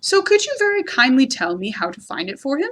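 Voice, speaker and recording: Using a put-on character voice, a woman talks at a fairly quick pace with a high pitch and very wide pitch swings. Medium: read story. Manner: humble, earnest.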